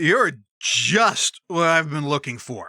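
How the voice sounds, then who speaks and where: In a put-on character voice, the speaker talks at a fairly slow pace with a middle pitch. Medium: read story. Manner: grandiose, showbiz.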